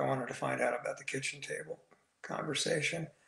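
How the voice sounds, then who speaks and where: A man's voice with audible room echo. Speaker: guest. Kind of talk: interview answer. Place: home room. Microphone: video call.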